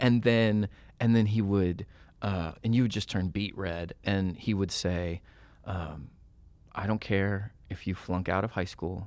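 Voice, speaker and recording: The recording is very clean, with a silent background. A man with an American accent talks at a fairly slow pace with fairly even intonation. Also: fairly low pitch for a man. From Southern California (Laguna Niguel). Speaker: author coach and ministry leader. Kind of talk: casual chat.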